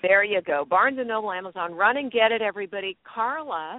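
A woman with an ordinary speaking voice talks in a fairly high pitch with lively intonation. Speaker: radio host. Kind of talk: radio interview. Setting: in a car in Los Angeles.

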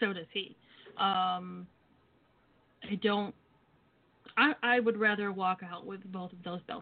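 A woman at medium pitch, a normal speaking voice, with ordinary pitch variation at a moderate pace. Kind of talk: casual banter, wrestling promo talk. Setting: phone call.

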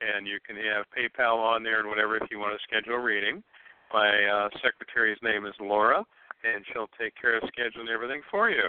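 A man of medium pitch with an American accent, in an ordinary speaking voice at a fairly quick pace. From Ohio. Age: 60s. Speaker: psychic medium. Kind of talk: psychic reading on call-in radio.

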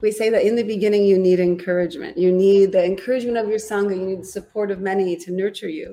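Over music in the background, a woman speaks at a very fast pace. Her pitch is medium, with ordinary variation. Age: 40s. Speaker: yoga teacher. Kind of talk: casual chat.

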